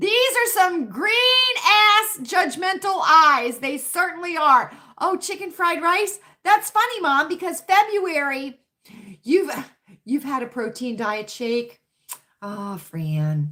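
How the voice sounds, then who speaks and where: Speaking at a very slow pace, a woman raises and projects her voice at an extremely high pitch, with very wide pitch swings. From US South, Richmond, Virginia. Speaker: livestream chat host. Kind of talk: casual livestream chat reading comments. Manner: chatty, repetitive.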